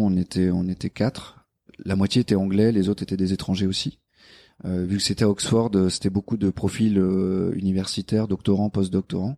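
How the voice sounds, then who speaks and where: On a very clean, dry and close recording with a silent background and no echo, a man with a very deep, low, dark and mellow voice speaks in a monotone, flat way at a moderate pace. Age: 30s. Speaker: engineer and operations manager. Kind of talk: interview. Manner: hesitant with fillers.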